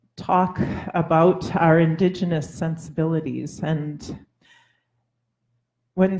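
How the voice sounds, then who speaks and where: The voice has a dark, mellow tone, somewhat breathy, in a Labrador accent. It moves at a very slow pace with ordinary pitch variation. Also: woman. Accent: Labrador Canadian English. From Labrador, Canada. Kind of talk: panel talk. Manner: halting.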